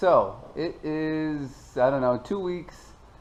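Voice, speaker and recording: A man's very slow speech carries audible room echo. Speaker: farmer and equipment operator YouTuber. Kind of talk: casual workshop vlog. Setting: garage. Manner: casual with fillers.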